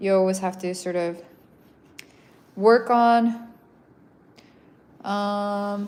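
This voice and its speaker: The speaker has an American accent and fairly even intonation. Audible room echo surrounds the voice. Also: woman. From Iceland. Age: 30s. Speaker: visual artist. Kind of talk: livestream chat while painting. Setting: art gallery. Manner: casual, hesitant with fillers.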